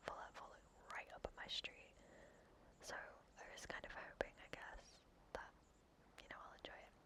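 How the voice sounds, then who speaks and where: The speaker whispers in a gentle tone. Long, frequent pauses break up the speech. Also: moderate pace. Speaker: ASMR creator. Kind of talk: ASMR gaming commentary. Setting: headset microphone, home. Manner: whispered, gentle.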